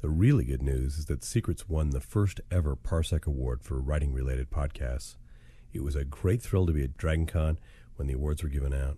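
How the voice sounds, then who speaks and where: A man's very deep, low voice, somewhat breathy and dark and mellow in tone, at a fairly quick pace with ordinary pitch variation. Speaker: writing podcast host and novelist. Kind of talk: casual spoken update to listeners. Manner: conversational with frequent fillers.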